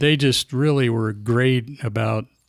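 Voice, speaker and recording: A man is speaking. He has a Midwestern American accent. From Atlanta, Illinois. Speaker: sports writer and newspaper editor. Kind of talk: interview answer. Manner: soft-spoken.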